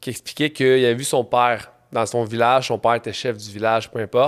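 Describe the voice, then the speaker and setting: Speaking at a fairly quick pace, a man with a Quebec accent has a medium pitch. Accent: Québécois French. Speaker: entrepreneur and trail runner. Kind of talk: casual interview.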